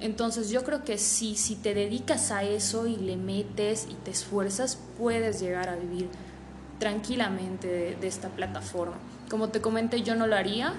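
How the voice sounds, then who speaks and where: At a moderate pace, a woman speaks at medium pitch with fairly even intonation, over audible room echo and noticeable background noise. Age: 20s. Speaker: online adult content creator. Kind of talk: interview.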